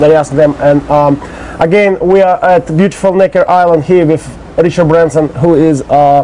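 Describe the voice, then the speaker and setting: Over noticeable background noise, a man with a Russian accent speaks at a moderate pace, his fairly high voice keeping fairly even intonation. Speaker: interviewer. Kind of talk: interview. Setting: outdoors on island. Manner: halting.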